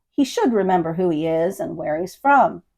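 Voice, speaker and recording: Putting on a growling character voice, a woman speaks at medium pitch and a moderate pace with lively intonation. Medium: read story. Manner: matter-of-fact.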